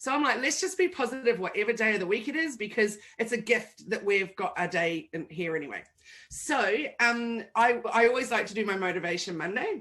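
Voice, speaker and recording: A woman speaks fairly high in an animated tone. Her pace is fairly quick, and her pitch swings very widely. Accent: New Zealand. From New Zealand. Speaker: digital marketing agency owner. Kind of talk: interview.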